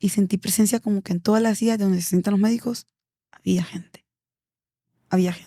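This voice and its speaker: Somewhat breathy and dark, mellow in tone, a woman's medium-pitched voice holds fairly even intonation in a dry, close sound with no echo. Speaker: embalmer and auxiliary nurse. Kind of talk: podcast interview storytelling.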